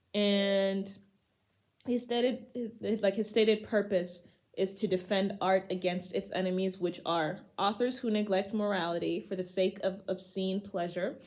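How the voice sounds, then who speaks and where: A woman with an unremarkable speaking voice talks at a fairly slow pace, her intonation fairly even. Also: medium pitch for a woman. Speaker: poetry channel host. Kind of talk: casual talk to camera. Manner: casual, humorous.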